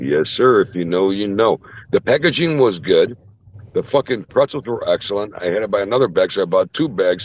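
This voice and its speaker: An animated man with a Chicago accent at a fairly quick pace, in a dry, close recording without echo. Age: 50s. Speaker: mechanic. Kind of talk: casual chat. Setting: online group call.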